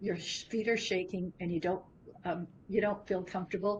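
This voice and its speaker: Her voice is somewhat breathy and sits at medium pitch, and the woman's intonation stays monotone and flat. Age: 70s. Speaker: business founder. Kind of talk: interview conversation.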